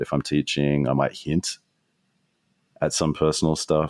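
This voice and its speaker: A man's very deep, low voice with an Australian accent, dry and close with no echo. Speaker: strategist and author. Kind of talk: podcast interview.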